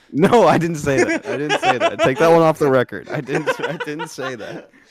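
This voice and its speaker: A man at a moderate pace with big swings in loudness, against noticeable background noise. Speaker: podcast co-host; school gym teacher. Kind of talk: casual chat.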